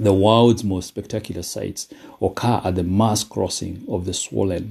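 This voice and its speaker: Recorded very cleanly against silence, a man's very deep, low voice moves at a moderate pace, dark and mellow, somewhat breathy, with fairly even intonation. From Kenya. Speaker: motivational podcaster. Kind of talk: motivational talk. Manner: hesitant with frequent fillers.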